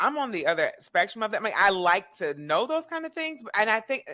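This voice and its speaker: Bright and sharp, a woman's animated voice moves at a fairly quick pace with lively intonation. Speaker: podcast host. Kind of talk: interview.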